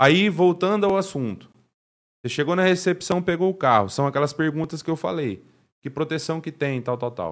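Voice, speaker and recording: Moving at a moderate pace, a normal speaking voice carries lively intonation. The background is silent and the recording very clean. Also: man, fairly high pitch for a man. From Paraná, Brazil (Cambé). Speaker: car detailer. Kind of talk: casual interview.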